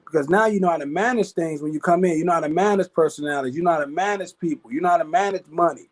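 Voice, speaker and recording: A man talks very fast in an American accent, his pitch high for a man. The sound is dry and close, with no echo. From Chicago, West Side. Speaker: network marketer. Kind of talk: interview. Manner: casual, filler-heavy; stumbling, repeats words.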